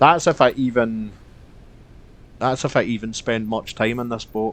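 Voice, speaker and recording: A man speaks with a Scottish accent. His pitch is medium and his pace moderate. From Scotland. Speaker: game streamer. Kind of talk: live gameplay commentary. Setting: live stream. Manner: casual, chatty.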